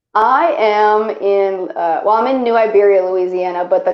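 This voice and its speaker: This woman has an American accent and a medium pitch. Her pitch variation is ordinary. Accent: slight Southern drawl over New York. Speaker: singer. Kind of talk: casual chat.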